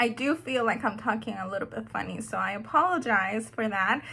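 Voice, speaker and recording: Woman's bright, sharp tone with ordinary pitch variation. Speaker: beauty vlogger. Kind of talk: tutorial. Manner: hesitant, many fillers.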